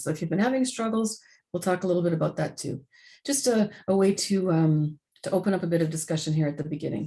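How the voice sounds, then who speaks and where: A woman speaks very fast, at a fairly low pitch, in a dark, mellow tone. Her voice is somewhat breathy, with lively intonation. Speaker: webinar facilitator. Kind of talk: webinar presentation.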